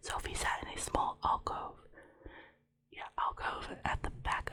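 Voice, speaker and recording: The pace is fairly slow. A woman whispers throughout. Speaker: ASMR creator. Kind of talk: ASMR whisper reading of a novel to help sleep. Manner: whispered.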